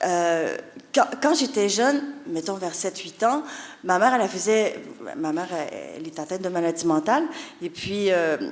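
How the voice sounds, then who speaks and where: Through noticeable background noise and audible room echo, a woman speaks with very wide pitch swings and long, frequent pauses. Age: 40s. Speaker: author. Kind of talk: conference talk, personal testimony. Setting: conference hall with audience. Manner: hesitant, many fillers and repetitions.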